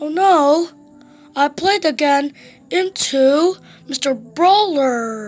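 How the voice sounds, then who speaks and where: Putting on a character voice, a woman speaks very slowly at a high pitch with lively intonation and long, frequent pauses, faint music playing behind her. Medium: read story.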